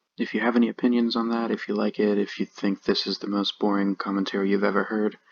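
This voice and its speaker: A soft-spoken man talks at a fairly quick pace in a dry, close sound with no echo. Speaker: gaming YouTuber. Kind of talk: gameplay commentary. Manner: calm, laid back.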